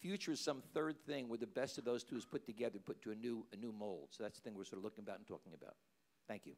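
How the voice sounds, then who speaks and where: Very fast pace marks this speaker with an American accent. The intonation is lively. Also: man, medium pitch for a man. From New York. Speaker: university administrator, panelist. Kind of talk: panel presentation.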